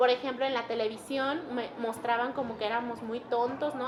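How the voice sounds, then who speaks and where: Moderate in pace, a woman's high-pitched voice stays monotone and flat. Audible room echo and noticeable background noise fill the recording. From Mixtec community in Mexico. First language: Mixtec (speaking Spanish). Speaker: interviewee sharing personal story. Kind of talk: testimony. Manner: halting.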